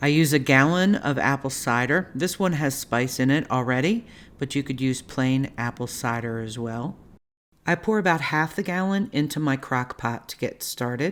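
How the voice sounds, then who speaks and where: A woman with a Baltimore accent speaks in a very deep, low pitch and a calm tone at a moderate pace. Her intonation is lively, and the recording is very clean with a silent background. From Baltimore, US. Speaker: cooking channel host. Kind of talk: cooking tutorial. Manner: calm, instructional.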